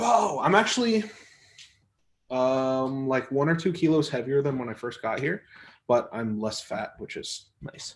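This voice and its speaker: Lively intonation and big swings in loudness mark this man's fairly high voice. He speaks at a fairly slow pace with long, frequent pauses. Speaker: arm wrestler and livestream host. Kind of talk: casual livestream chat reading viewer comments. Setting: live stream from home.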